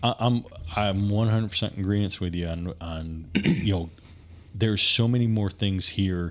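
A normal speaking voice from a man with an American accent, fairly low pitch and ordinary pitch variation. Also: moderate pace. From Michigan, small town. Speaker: energy company co-founder and dirt bike rider. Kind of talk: casual chat. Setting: studio.

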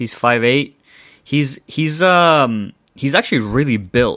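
Over a silent background in a very clean recording, a man talks in a normal speaking voice. His pace is fairly slow, and his pitch variation is ordinary. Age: 20s. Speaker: football podcast host. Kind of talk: casual solo podcast. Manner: casual, filler-heavy.

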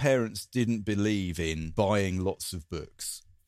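This is a man with a southern English accent. The sound is dry and close with no echo. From southern England, Coulsdon near Croydon. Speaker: podcast host. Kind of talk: casual chat.

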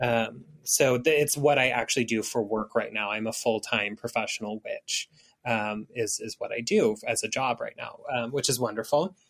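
With an American accent, a man in a medium pitch speaks at a moderate pace with hardly any pauses, in an unremarkable speaking voice and a dry, close sound with no echo. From United States, Mexican American family. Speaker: author and professional witch. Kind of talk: interview.

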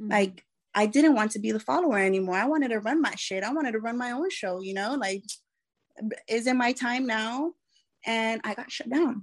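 A woman talks at a fairly quick pace in a fairly high pitch. Her tone is animated, and her pitch variation is ordinary. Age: 20s. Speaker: fitness competitor. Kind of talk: interview.

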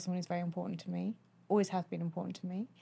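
A woman with a British accent speaks in a medium pitch with a somewhat breathy voice. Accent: British English, noticeable. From United Kingdom. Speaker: guest, host's former partner. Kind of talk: casual chat. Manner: bubbly, giggly, cheerful.

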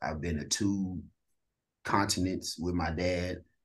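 With a Southern US accent, a man speaks at a very deep, low pitch and fairly even intonation over a quiet background. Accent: Southern-tinged country. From East St. Louis, Illinois. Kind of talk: casual interview, testimony.

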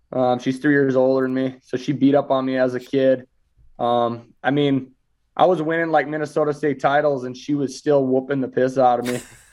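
Flat and monotone, a man with an American accent talks at a fairly quick pace. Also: medium pitch for a man. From US Midwest, small town. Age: 20s. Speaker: wrestler. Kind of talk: interview. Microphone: glitchy, cutting out connection.

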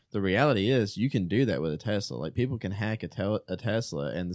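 A man talks at a fairly quick pace and fairly low pitch, with ordinary pitch variation and a plain, everyday voice. The recording is very clean, with a silent background. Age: 30s. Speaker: theology podcast panelist. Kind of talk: casual chat.

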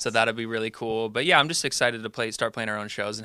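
A man's medium-pitched voice in a bright, sharp tone, on a very clean recording with a silent background. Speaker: musician, band member. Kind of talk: interview chat.

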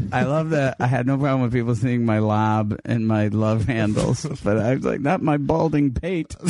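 A man with an ordinary speaking voice talks at a moderate pace and medium pitch, with hardly any pauses. His loudness is very even, and his pitch varies in an ordinary way. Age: 50s. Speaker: stand-up comedian. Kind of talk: casual chat.

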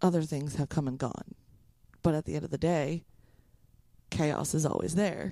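A woman speaks at a moderate pace in a very deep, low pitch with vocal fry and a dark, mellow tone. Her pitch varies in an ordinary way, and her pauses are long and frequent. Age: 30s. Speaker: podcast co-host. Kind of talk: casual chat.

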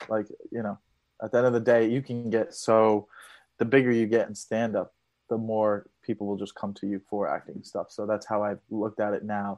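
Against a quiet background, a man with a fairly low pitch speaks in a monotone, flat intonation. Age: 30s. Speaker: comedian. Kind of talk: casual chat. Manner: fast.

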